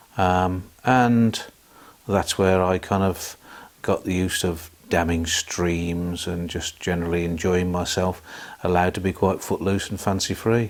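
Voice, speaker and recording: A man with a Birmingham accent speaks at a fairly slow pace. His pitch is very deep and low, and his intonation is monotone and flat. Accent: Birmingham (Brummie) English. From Birmingham, England (Selly Oak). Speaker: hospital theatre support worker. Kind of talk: oral history interview.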